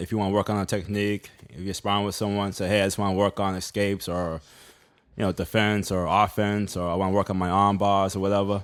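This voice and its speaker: In a Boston accent, a man talks very fast in a fairly low pitch with flat, monotone intonation. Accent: Boston accent, drops R's. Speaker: jiu-jitsu practitioner on a talk panel.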